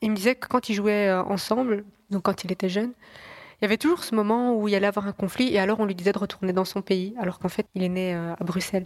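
Speaking very fast, a woman uses a medium pitch and fairly even intonation. The sound is dry and close, with no echo. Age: 20s. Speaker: journalist. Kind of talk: podcast interview.

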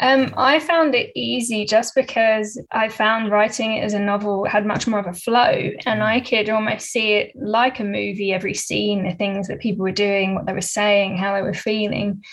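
A woman with a British accent talks at a fairly high pitch with fairly even intonation. She leaves hardly any pauses. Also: moderate pace. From UK. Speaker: author. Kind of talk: interview. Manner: halting, many fillers.

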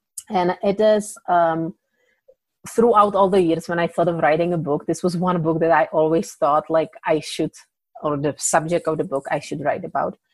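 At a moderate pace, a woman with a Czech accent speaks with fairly even intonation. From Czech Republic. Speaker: indie author. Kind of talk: casual interview. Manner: hesitant with fillers.

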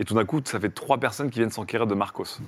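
On a very clean recording with a silent background, a man with a normal speaking voice talks at a medium pitch with ordinary pitch variation. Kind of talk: casual chat, improvised role-play game.

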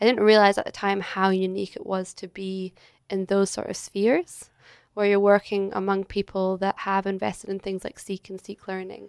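A woman with a Scottish accent at medium pitch, monotone and flat at a moderate pace, with big swings in loudness, in a dry, close, very clean recording over a silent background. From Scotland, Edinburgh. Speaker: entrepreneur, agency director. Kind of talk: interview conversation. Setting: hotel.

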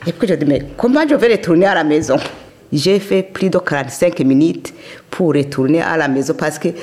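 A normal speaking voice from a woman, fairly low in pitch, with lively intonation at a moderate pace. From Burundi, Kayanza province. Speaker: immigrant elder. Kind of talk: testimony.

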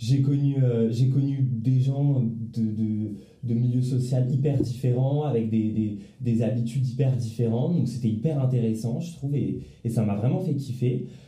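In a room with audible echo, a man at a medium pitch speaks at a fairly slow pace, his intonation fairly even and his loudness very even. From Paris, France. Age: 20s. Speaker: law student. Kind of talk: casual chat. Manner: halting, many repetitions. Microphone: too far from the mic.

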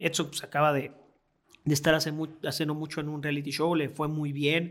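A man speaks with a fairly high pitch. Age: 30s. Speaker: stand-up comedian and radio news host. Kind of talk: casual interview chat. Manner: animated.

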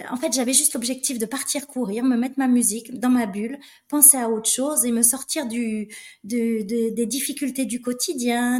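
A woman's high voice, fairly slow, with fairly even intonation. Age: 50s. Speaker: flight attendant and trail runner. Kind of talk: interview conversation.

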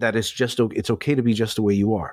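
An American accent from a man at medium pitch, fairly quick, with ordinary pitch variation, in a very clean recording with a silent background and dry, close sound with no echo. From New York City. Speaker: professional dominant and event host. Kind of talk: interview answers.

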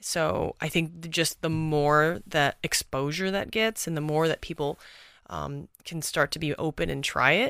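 In an American accent, a woman speaks at a moderate pace with a very deep, low pitch, vocal fry and a bright, sharp tone, in a dry, close sound with no echo on a very clean recording with a silent background. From Texas. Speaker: movement coach. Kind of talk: casual interview conversation.

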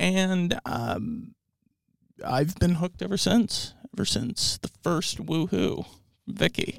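Speaking very slowly with long, frequent pauses, a man with a General American accent comes through in a dry, close sound with no echo. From Southern California, Orange County. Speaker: historian podcast co-host. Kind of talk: casual chat.

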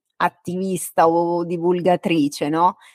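A woman with a fairly low pitch speaks at a very slow pace in a very clean recording with a silent background and a dry, close sound with no echo. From Ostia, Rome area, then Marche. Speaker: podcast host. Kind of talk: interview.

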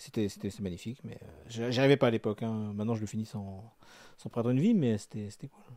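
A man speaks at a very fast pace, with a medium pitch and a dark, mellow tone. His loudness swings widely, his intonation stays fairly even, and he takes long, frequent pauses. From France. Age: 30s. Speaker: video game fan living in Japan. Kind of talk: casual chat.

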